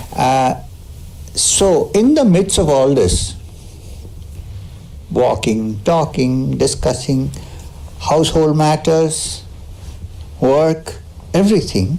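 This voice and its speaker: Over noticeable background noise and audible room echo, a man speaks at a very slow pace with long, frequent pauses and very even loudness. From South India. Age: 60s. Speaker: spiritual teacher. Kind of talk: spiritual talk with Q&A. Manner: conversational, with hesitations.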